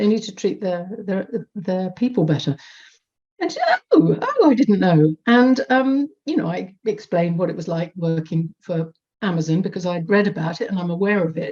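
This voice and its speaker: Lively intonation and a moderate speed from a woman at medium pitch. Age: 50s. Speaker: audience member at online report launch. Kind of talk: audience comment in Q&A. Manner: halting, many repetitions and fillers.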